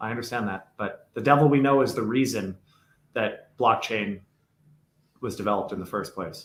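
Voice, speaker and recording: A man speaks with ordinary pitch variation and big swings in loudness. He takes long, frequent pauses. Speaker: crypto podcast co-host. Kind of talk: casual podcast discussion. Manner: fast; animated.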